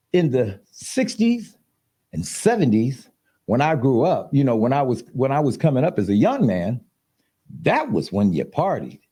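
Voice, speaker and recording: A man's dark, mellow voice with vocal fry and very wide pitch swings. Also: medium pitch for a man, moderate pace. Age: 70s. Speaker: podcast host. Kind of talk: casual chat.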